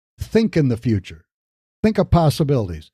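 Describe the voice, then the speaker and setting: A man's fairly high voice, dark and mellow in tone, somewhat breathy, with very wide pitch swings. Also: dry, close sound with no echo. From Michigan, US Midwest. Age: 60s. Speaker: podcast host, business coach. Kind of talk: motivational podcast talk.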